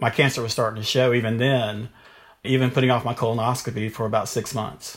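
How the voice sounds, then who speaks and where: A man with a North Carolina accent and fairly even intonation. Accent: North Carolina Southern. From US South, Durham, North Carolina. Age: 50s. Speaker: pre-K teacher and cancer survivor. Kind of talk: interview, personal testimony.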